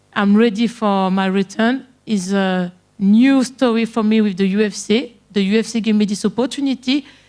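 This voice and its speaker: A woman's fairly high voice at a fairly slow pace, with ordinary pitch variation, on a very clean recording with a silent background. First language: French. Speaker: MMA fighter. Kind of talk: media day interview. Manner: halting.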